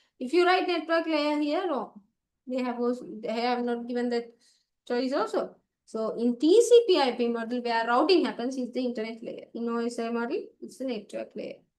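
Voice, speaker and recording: A woman talks with a Sri Lankan accent at a moderate pace. Her pitch is high, with ordinary variation. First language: Sinhala. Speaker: ICT tutor. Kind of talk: online exam paper class.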